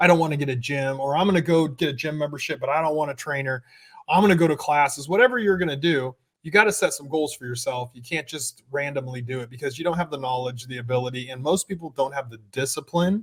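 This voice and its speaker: A man's very fast, somewhat breathy delivery, fairly high in pitch, with ordinary pitch variation and big swings in loudness. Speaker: personal trainer and podcast co-host. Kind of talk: casual chat. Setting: gym studio. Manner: slurring S's.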